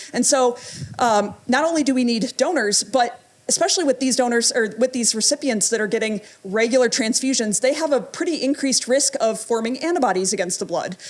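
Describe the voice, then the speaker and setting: The speech runs at a fairly quick pace with very even loudness and ordinary pitch variation, over noticeable background noise. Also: woman, high pitch for a woman. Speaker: pathologist giving a talk. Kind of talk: lecture. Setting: stage with audience. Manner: fast; animated.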